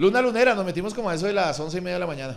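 A man talks in an animated tone. Light background noise can be heard. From Colombia, Pereira; Colombia. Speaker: stand-up comedian. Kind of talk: improvised stand-up. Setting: stage with audience. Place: stage. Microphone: handheld.

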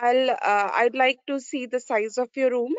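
This woman speaks with a high-pitched voice. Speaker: trainee doctor, exam candidate. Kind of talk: role-play consultation. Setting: video call.

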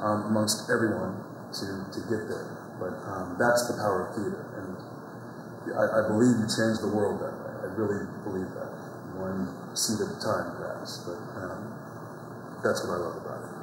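Amid noticeable background noise and audible room echo, a man with a fairly low pitch speaks at a moderate pace with fairly even intonation and long, frequent pauses. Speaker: actor being interviewed. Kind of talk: interview answer. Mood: warm, reflective, passionate. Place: hall. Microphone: lapel.

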